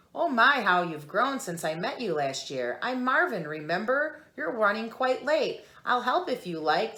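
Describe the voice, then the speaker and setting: A woman's put-on character voice, fairly high and squeaky, with very wide pitch swings at a moderate pace, in a very clean recording with a silent background. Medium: read story.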